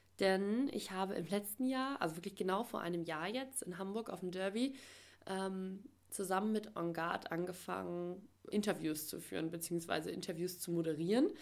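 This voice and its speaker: Ordinary pitch variation, a medium pitch and a moderate pace shape a woman's talk in an unremarkable speaking voice. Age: 20s. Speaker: podcast host. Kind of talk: solo podcast introduction. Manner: filler-heavy (ähm, äh).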